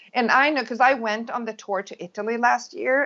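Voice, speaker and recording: A woman with a Swedish accent, fairly high in pitch, at a moderate pace. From Sweden. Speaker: crochet and knitting designer. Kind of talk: interview.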